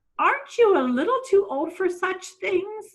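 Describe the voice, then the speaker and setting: Using a put-on character voice, a woman squeaks at an extremely high pitch. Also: moderate pace. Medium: read story. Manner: prim, correcting.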